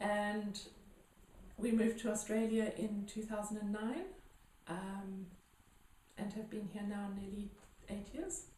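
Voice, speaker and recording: With long, frequent pauses, a woman speaks in a dark, mellow, somewhat breathy tone and fairly even intonation, with audible room echo. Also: medium pitch for a woman, fairly slow pace. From South Africa, Johannesburg. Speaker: healer. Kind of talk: interview. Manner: hesitant, many fillers.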